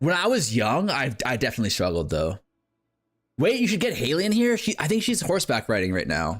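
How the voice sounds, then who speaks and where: A man speaks fairly quickly at a fairly high pitch, with vocal fry and very wide pitch swings. His loudness stays very even in a very clean recording with a silent background. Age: 30s. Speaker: gaming streamer. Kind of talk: live stream chat. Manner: casual, filler-heavy.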